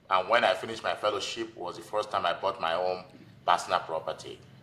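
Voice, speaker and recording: A man with a Nigerian accent speaks at a fairly quick pace. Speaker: physician and real estate investor. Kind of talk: podcast interview. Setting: podcast.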